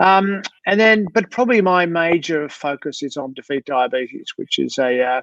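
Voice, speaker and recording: Speaking with an Australian accent, a man talks at a high pitch and a moderate pace. His intonation is lively, and the sound is dry and close with no echo. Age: 60s. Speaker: sports doctor. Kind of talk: interview. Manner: halting, many fillers.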